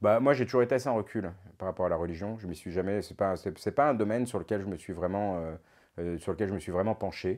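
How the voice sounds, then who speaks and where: A man's very fast speech at a fairly low pitch with ordinary pitch variation, over a quiet background. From Paris suburbs, Essonne, France; France. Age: 40s. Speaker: retired businessman, father of an influencer; father of an influencer, interviewee. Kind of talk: interview. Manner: hesitant, many repetitions. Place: studio. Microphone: lapel.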